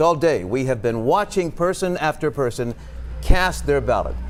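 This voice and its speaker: Music plays in the background as a man speaks. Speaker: news anchor. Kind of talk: TV newscast anchor read.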